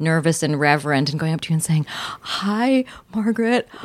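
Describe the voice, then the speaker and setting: Her normal speaking voice has a fairly low pitch and lively intonation. The woman talks at a fairly quick pace. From Virginia, US. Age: 50s. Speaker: comedian and TV host. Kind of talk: casual chat.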